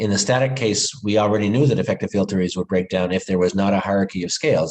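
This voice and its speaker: A man speaks with a fairly low pitch and ordinary pitch variation. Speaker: physics professor. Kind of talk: lecture. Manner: fast.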